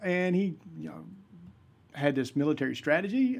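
A man with a Southern US accent speaks at a fairly quick pace and a high pitch. His pitch swings very widely. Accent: Southern US (Georgia). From US South, South Georgia (Vidalia). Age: 50s. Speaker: pastor and podcast host. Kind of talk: solo podcast monologue, casual teaching.

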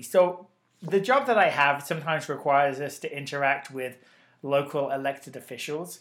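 An ordinary speaking voice from a man, fairly high in pitch, at a fairly quick pace. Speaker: podcast host. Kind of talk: casual banter podcast chat. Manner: bantering, teasing.

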